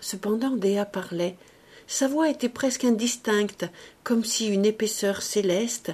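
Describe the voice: Pitch variation is ordinary. The clip is plain reading aloud.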